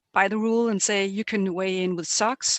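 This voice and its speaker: A woman speaks in a plain, everyday voice at a medium pitch and moderate pace. Her intonation is fairly even, and the sound is dry and close with no echo. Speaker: weightlifting technical official presenter. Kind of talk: webinar presentation.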